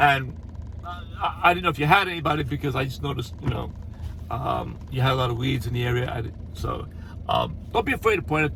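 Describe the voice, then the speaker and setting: With audible room echo and noticeable background noise, a man talks very fast. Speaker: landscaping business owner. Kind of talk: casual tutorial. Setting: on the road, stopped at a store. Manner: hesitant, many fillers and repeats.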